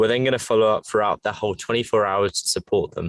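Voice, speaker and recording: A man with an English accent, over a quiet background. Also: dry, close sound with no echo. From England. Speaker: fitness tech entrepreneur. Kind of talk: interview.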